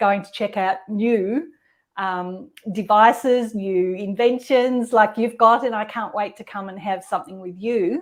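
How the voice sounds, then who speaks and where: A woman with an ordinary speaking voice talks at a fairly slow pace and a fairly high pitch, with ordinary pitch variation. Her loudness swings widely, on a very clean recording with a silent background. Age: 60s. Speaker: podcast host. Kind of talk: casual chat.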